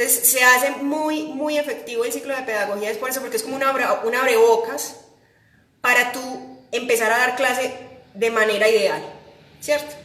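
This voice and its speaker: Amid audible room echo, a woman speaks at a high pitch with fairly even intonation. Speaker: piano teacher. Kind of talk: live stream chat. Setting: Instagram live. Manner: fast.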